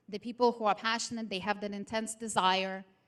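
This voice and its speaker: This woman speaks with a non-native accent. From outside the United States. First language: not English. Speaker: motivational speaker. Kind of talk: seminar presentation. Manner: animated.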